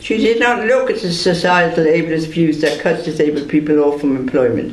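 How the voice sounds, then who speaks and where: There is noticeable background noise and audible room echo. A man with an Irish accent speaks at a high pitch. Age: 70s. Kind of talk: prepared statement read aloud at press conference. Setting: press conference.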